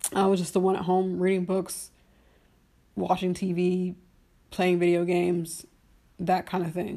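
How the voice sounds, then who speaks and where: Her intonation is monotone and flat at a medium pitch. The woman speaks at a fairly slow pace. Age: 30s. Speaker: solo podcast host. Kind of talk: casual solo monologue. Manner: rambling with many fillers.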